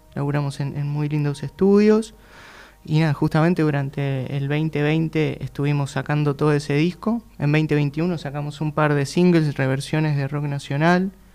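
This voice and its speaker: With a plain, everyday voice, a man speaks at a fairly high pitch and a moderate pace, his intonation fairly even. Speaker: band singer. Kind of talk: casual interview.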